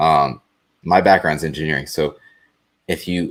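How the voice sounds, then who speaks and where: The recording is very clean, with a silent background. A man speaks at a moderate pace. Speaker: panelist with engineering background. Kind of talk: live panel discussion. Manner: dry, blunt.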